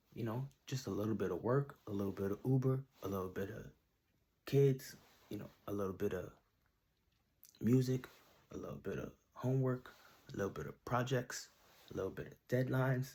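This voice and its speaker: A man with a dark, mellow tone and a somewhat breathy voice speaks at medium pitch with ordinary pitch variation. His pace is fairly quick, broken by long, frequent pauses. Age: 30s. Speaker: R&B singer and songwriter. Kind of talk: self-interview answering questions. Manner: casual, with filler words.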